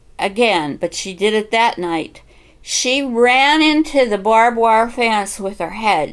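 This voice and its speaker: In a western Pennsylvania accent, a woman talks at a fairly slow pace. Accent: western Pennsylvania American English. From western Pennsylvania, USA. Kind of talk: personal storytelling, family memories.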